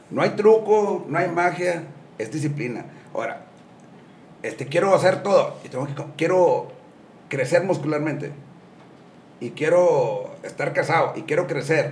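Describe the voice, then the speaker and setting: The voice has ordinary pitch variation and a fairly slow pace, broken by long, frequent pauses. Audible room echo is present. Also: man, high pitch for a man. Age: 60s. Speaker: gym owner and businessman. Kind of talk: casual interview.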